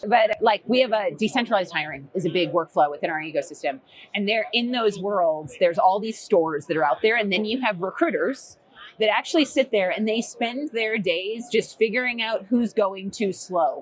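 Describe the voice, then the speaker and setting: Her pitch fairly high, a woman speaks at a moderate pace. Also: lively intonation. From Boston. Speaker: recruitment technology executive. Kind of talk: podcast interview. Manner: casual, filler-heavy.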